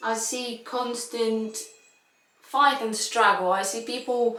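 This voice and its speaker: With audible room echo, a woman speaks in a fairly high pitch and fairly even intonation. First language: not English. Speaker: violinist. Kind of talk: casual chat. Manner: halting.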